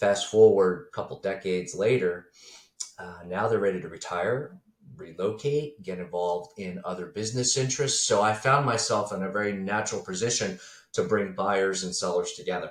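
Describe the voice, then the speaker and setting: This is an ordinary speaking voice at a moderate pace. Its pitch variation is ordinary. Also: man, fairly low pitch for a man. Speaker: business broker for accounting firms. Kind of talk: podcast interview.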